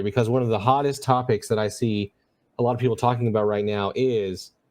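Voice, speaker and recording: Speaking in an ordinary speaking voice, a man keeps a medium pitch with ordinary pitch variation. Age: 30s. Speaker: podcast host, real estate photographer. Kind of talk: interview.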